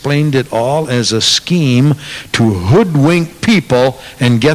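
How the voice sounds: The clip features a natural reading voice.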